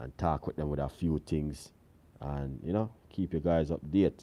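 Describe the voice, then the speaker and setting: With a Jamaican accent, a man speaks at a moderate pace in a very deep, low voice with a dark, mellow tone. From Jamaica, countryside. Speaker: cooking channel host. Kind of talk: live stream chat with viewers. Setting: live stream away from home. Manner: casual, relaxed.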